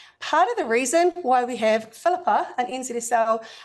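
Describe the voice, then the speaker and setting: A woman with a New Zealand accent speaks at a high pitch and a moderate pace with lively intonation. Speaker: UX accessibility consultant. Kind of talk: presentation to a meetup audience.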